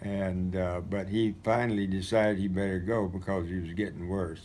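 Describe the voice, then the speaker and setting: At a fairly slow pace, a man speaks in a very deep, low pitch with fairly even intonation and audible room echo. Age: 80s+. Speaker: retired missionary recounting memories. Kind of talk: storytelling. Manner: halting.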